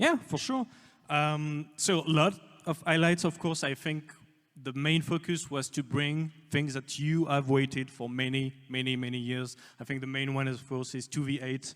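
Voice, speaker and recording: With a French accent, the words arrive at a moderate pace. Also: man. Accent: French-sounding. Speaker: game studio executive. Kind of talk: livestream presentation. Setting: livestream. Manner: soft-spoken. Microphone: quiet mic.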